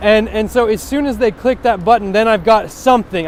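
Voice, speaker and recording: The speaker has an American accent and a fairly quick pace. Pitch varies in an ordinary way over noticeable background noise. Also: man. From US West Coast. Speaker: web developer. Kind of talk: tutorial. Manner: fast; halting, many fillers and restarts.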